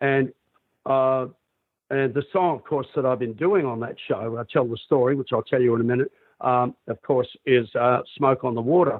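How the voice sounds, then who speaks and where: A man with an Australian accent at a moderate pace, medium pitch and ordinary pitch variation. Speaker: rock singer. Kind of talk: interview. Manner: halting, many fillers.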